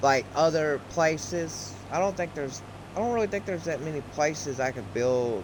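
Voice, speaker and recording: Background noise is noticeable throughout. Over it, a man keeps a moderate pace. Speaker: gaming YouTuber. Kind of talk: casual gameplay commentary. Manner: halting, self-correcting.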